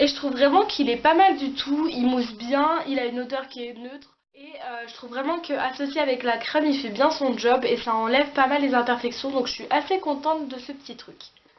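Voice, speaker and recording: A woman talks at a fairly quick pace with hardly any pauses and ordinary pitch variation. Noticeable background noise runs behind her. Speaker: beauty vlogger. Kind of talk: casual product review vlog. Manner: fast; hesitant, many fillers.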